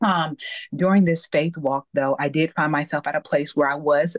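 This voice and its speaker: In an American accent, a woman speaks in a flat monotone with a very deep, low voice, the sound dry and close with no echo. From US Midwest, suburb of Cleveland, Ohio. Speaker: accountability coach and author. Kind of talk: podcast interview.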